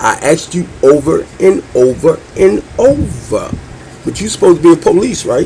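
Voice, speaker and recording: A man talks at a fairly slow pace while noticeable background noise runs underneath. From Baltimore, west side. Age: 60s. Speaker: show host. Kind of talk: angry rant to camera. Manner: animated.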